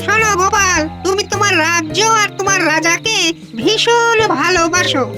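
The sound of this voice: Loud background noise sits under a cartoonish character voice pitched extremely high. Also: fairly slow pace.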